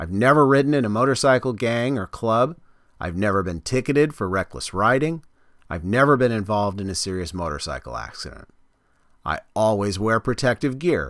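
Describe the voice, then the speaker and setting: A plain, everyday voice with an American accent, lively intonation and a fairly quick pace. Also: man, medium pitch for a man. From California. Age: 50s. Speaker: motorcycle vlogger. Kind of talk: scripted narration.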